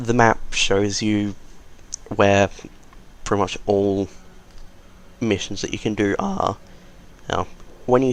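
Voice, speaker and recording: Against noticeable background noise, a man talks very slowly in a fairly low voice. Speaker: gaming channel host. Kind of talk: game tutorial voice-over. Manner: casual, conversational.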